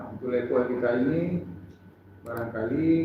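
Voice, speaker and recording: Over noticeable background noise and audible room echo, a man at medium pitch speaks at a moderate pace with ordinary pitch variation. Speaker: workshop facilitator. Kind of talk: workshop opening speech. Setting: workshop hall with audience, no microphone. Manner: formal, with hesitations.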